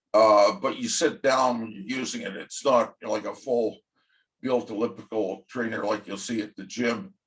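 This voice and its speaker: At a moderate pace, a man speaks with vocal fry in a medium pitch that varies in an ordinary way. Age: 70s. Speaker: vlogger. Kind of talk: casual monologue. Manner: halting, many fillers.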